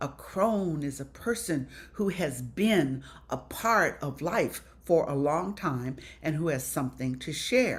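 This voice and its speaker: Very slowly, a woman speaks at a very deep, low pitch, somewhat breathy, with very wide pitch swings. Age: 70s. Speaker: panelist on aging, women's elder circle founder. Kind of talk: panel talk.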